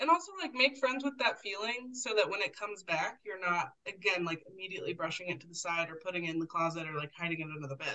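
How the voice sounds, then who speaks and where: An ordinary speaking voice belongs to a woman with an American accent and medium pitch. She talks at a fairly quick pace with lively intonation. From US Pacific Northwest, Portland, Oregon. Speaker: community educator and cyclist. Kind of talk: casual interview.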